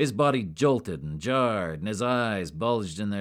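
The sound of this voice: Reading in an unforced voice, the speaker keeps the intonation lively.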